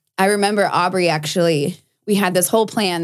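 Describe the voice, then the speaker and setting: A woman's fairly low, fairly quick delivery with an American accent, fairly even intonation and a normal speaking voice. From South Texas, Corpus Christi. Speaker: former beauty queen, MMA fighter turned country singer. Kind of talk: interview conversation. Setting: studio.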